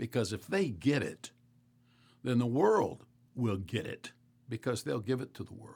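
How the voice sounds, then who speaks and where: A man of medium pitch speaks at a moderate pace with vocal fry and lively intonation. His loudness swings widely, and he takes long, frequent pauses. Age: 70s. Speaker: pastor. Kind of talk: rant. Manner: animated.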